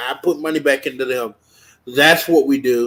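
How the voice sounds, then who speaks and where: Music is heard behind this man. His pitch varies an ordinary amount. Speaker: online show host. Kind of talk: casual talk show sign-off and donation appeal.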